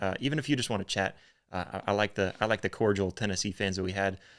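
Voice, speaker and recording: A man with a Northern US accent speaks very fast at a fairly low pitch in a very clean recording with a silent background. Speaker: sports podcast host. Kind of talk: live-streamed sports podcast chat. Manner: halting, many fillers.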